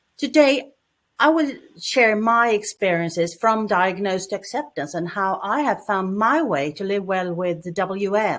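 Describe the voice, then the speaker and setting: Speaking at a fairly slow pace, a woman with a Swedish accent uses lively intonation. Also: medium pitch for a woman. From Sweden. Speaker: cancer patient, support group founder. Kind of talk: presentation.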